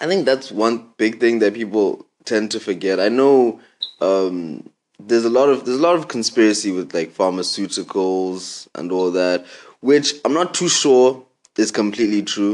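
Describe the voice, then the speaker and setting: With an ordinary speaking voice, a man talks at a moderate pace in a fairly low pitch with lively intonation. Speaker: podcast host. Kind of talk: casual chat.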